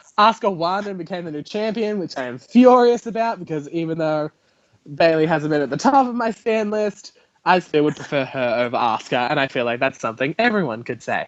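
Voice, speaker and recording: A man's high voice swings very widely in pitch as he talks at a fairly quick pace. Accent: Australian. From Australia. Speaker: podcast host. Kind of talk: casual chat. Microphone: audio delay and echo.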